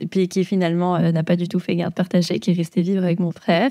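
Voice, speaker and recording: A woman is recorded very cleanly against a silent background. The sound is dry and close, with no echo. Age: 20s. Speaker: dog trainer. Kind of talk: casual chat. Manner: hesitant, many fillers.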